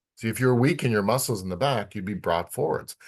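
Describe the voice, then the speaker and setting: In quiet surroundings, a fairly low-pitched man talks with ordinary pitch variation. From Canada. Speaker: physical therapist and osteopath teaching a course. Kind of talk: lecture. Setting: clinic.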